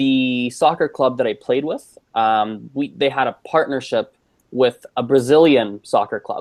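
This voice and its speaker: A man with a Canadian accent talks in an ordinary speaking voice at a fairly slow pace, his fairly high pitch showing ordinary variation in a dry, close sound with no echo. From Canada. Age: 20s. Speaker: polyglot. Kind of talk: casual chat.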